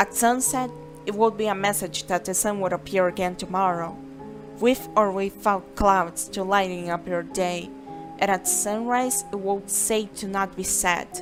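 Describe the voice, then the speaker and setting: Music plays in the background. A woman with a Brazilian accent speaks at a moderate pace. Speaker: amateur fiction author reading own story. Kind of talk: story narration.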